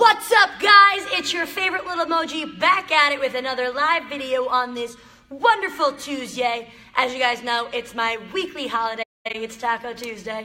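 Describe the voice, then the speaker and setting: The tone is animated, bright and sharp, with very wide pitch swings. The voice is raised and projected at a moderate pace. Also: woman, high pitch for a woman. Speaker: motivational live streamer. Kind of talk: live stream talk to viewers. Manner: loud.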